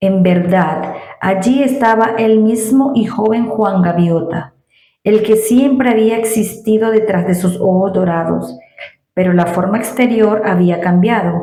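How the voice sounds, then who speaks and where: A woman talks at a fairly slow pace in a dark, mellow, somewhat breathy tone, her medium pitch showing ordinary variation and her loudness staying very even. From Venezuela. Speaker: Spanish teacher. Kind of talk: read story. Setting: home recording with new microphone.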